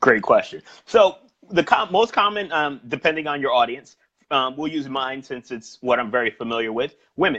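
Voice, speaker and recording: This man has a New York accent and a fairly high pitch. His intonation is lively. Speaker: sales trainer and personal trainer. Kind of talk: interview about sales coaching. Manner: fast.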